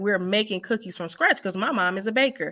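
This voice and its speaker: Heard on a very clean recording against a silent background, a woman talks at a fairly quick pace in a bright, sharp tone at a medium pitch. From Chicago South Side. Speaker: hair stylist and beauty supply store owner. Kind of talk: casual chat.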